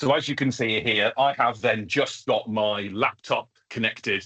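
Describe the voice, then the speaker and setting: In a southern English accent, a man talks in a bright, sharp tone with ordinary pitch variation. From England, further south than the audience. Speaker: education technology trainer, former teacher. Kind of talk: online training webinar. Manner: casual, filler-heavy.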